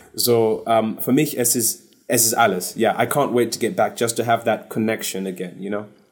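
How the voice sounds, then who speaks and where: A medium-pitched man at a moderate pace, with ordinary pitch variation, hardly any pauses and big swings in loudness. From London, England (born in Zimbabwe). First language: English (speaking German). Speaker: singer. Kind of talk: casual interview. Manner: halting, searching for German words.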